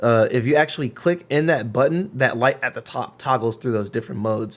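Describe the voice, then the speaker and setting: This is a man talking at a medium pitch. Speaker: gaming streamer reviewing a microphone. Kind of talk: product review. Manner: loud; casual, filler-heavy.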